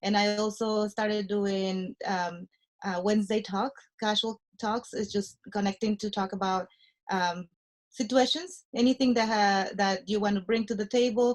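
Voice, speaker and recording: Speaking with a Spanish accent, a woman of medium pitch talks at a moderate pace with fairly even intonation. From Mexico. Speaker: nurse anesthetist and real estate investor. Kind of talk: interview. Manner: halting, many fillers.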